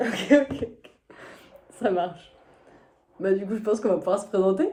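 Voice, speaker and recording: Here is a woman with an unremarkable speaking voice. Her pace is moderate, her pitch medium, and her pitch variation ordinary. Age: 20s. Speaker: physiotherapist, reality show applicant. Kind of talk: casual self-presentation video.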